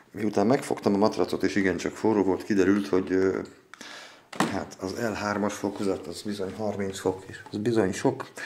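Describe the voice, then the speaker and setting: Keeping a monotone, flat intonation, a man speaks at a moderate pace in a fairly low pitch. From Hungary. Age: 40s. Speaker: vlogger, beginner home grower. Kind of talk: casual video vlog monologue. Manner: rambling, hesitant with filler sounds.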